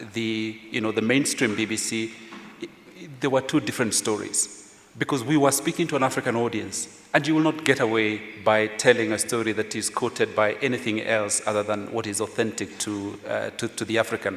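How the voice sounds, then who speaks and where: With a Kenyan accent, a man talks at a fairly quick pace over noticeable background noise. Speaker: journalist, former editor. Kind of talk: panel discussion.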